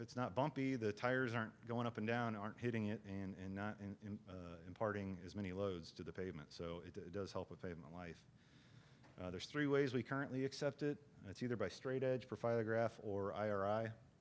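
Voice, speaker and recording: A man's fairly low voice, ordinary pitch variation, and a fairly quick pace. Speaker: state transportation agency engineer, training presenter. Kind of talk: lecture. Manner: fast; halting, many fillers and repetitions.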